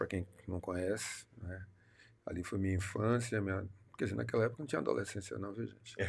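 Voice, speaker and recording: On a very clean recording with a silent background, a man with a very deep, low pitch and vocal fry speaks at a fairly quick pace. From Salvador, Bahia, Brazil. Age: 60s. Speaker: city councillor. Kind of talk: interview. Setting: studio. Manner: animated.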